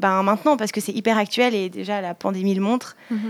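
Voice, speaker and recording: A woman's fairly high-pitched voice in a very clean recording with a silent background. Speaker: student activist. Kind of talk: interview. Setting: rooftop outdoors.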